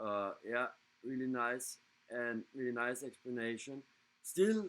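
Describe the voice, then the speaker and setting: In a German accent, a man talks at a very slow pace with medium pitch and ordinary pitch variation. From Germany. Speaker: scale model hobbyist, show co-host. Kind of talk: casual chat. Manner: halting.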